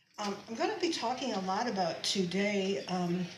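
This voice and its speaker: Room echo and clearly audible noise surround the woman as she talks. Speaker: shaman and healer giving a talk. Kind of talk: lecture. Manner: halting.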